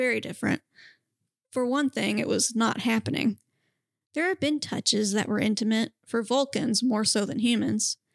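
Recorded very cleanly against a silent background, with a dry, close sound and no echo, a woman speaks in an unremarkable speaking voice. Her pitch is fairly high with ordinary variation, her loudness very even and her pace moderate. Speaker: podcast co-host. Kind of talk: casual chat and reading fan fiction aloud.

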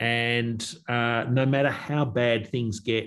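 A man's medium-pitched voice with an Australian accent, over a quiet background. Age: 50s. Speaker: agricultural company executive. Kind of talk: interview.

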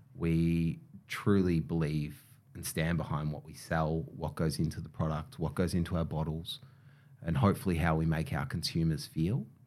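Here a man speaks with a very deep, low pitch. His pace is moderate and his pitch variation ordinary. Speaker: hair care brand co-founder. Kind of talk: interview.

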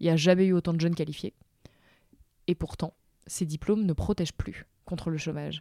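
A woman's dark, mellow voice at a fairly quick pace, with fairly even intonation, long, frequent pauses and a dry, close sound with no echo. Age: 20s. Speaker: journalist and author. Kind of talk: interview conversation.

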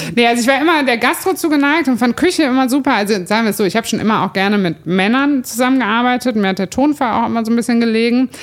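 Noticeable background noise sits behind a woman talking very fast. Her fairly high voice has lively intonation. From Cologne, Germany. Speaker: brewery owner. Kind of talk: casual chat. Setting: brewpub, on location.

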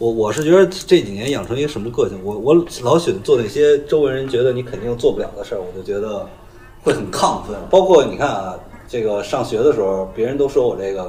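This man has a normal speaking voice and medium pitch. He talks at a fairly quick pace with lively intonation. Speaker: comedian. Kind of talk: casual chat.

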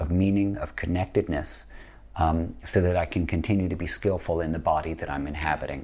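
In a very clean recording with a silent background, a man with an American accent speaks in a very deep, low pitch with vocal fry. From US Northeast. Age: 50s. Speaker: yoga teacher. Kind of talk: podcast interview.

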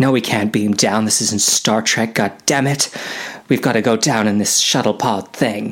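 The passage is read out loud in a voice that sounds natural.

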